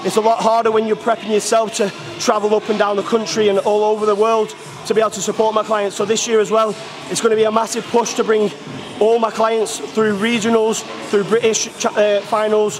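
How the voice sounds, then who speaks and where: Over noticeable background noise, a man speaks at a fairly quick pace with a high pitch and monotone, flat intonation. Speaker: coach. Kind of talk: casual vlog chat. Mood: positive, motivated. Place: gym.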